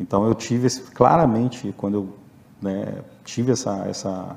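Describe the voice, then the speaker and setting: This man's voice sits at a fairly low pitch and has ordinary pitch variation. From Rio de Janeiro, Brazil. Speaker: agricultural auditor and animal scientist. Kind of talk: interview testimony. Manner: halting.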